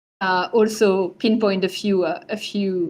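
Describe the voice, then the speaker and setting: A woman with a French accent, medium in pitch, with ordinary pitch variation. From France. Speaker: digital art advisor and curator. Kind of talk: lecture. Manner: halting, many fillers.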